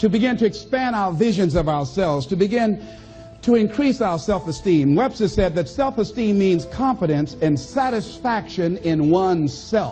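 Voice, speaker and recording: Over music in the background, a man with an American accent talks at a moderate pace, high in pitch, with lively intonation. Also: very even loudness. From American, Miami Florida. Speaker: motivational speaker. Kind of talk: motivational speech to an audience. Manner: high-energy, emphatic.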